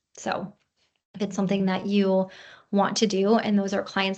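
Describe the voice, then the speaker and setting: Moderate pace from a woman at medium pitch, over a quiet background. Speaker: practice consultant. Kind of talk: webinar presentation. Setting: online webinar.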